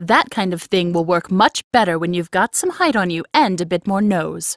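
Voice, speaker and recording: Using a put-on character voice, a woman speaks at a medium pitch in a dry, close recording with no echo. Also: moderate pace, ordinary pitch variation. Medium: audio drama.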